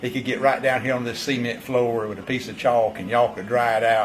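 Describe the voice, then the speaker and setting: An eastern North Carolina accent at a very fast pace, fairly even intonation, with music in the background. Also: man. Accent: Southern US, eastern North Carolina. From North Carolina, Bladen County. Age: 70s. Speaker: vineyard owner. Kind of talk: interview. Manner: halting, many repeated words.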